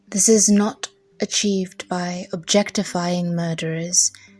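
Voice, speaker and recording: Over music in the background, a woman with a fairly low pitch talks at a very slow pace with fairly even intonation. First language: not English. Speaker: English teacher. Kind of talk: reading of a legal judgment.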